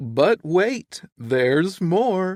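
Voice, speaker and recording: A man performs a put-on character voice at a high pitch. His pitch swings very widely. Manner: hyped salesman pitch.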